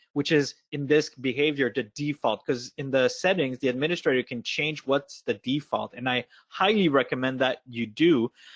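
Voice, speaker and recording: A man with a Quebec accent, his pitch fairly high with ordinary variation, at a moderate pace. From Quebec, Montreal. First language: French. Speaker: software product lead. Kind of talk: webinar discussion. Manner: hesitant, searching for words.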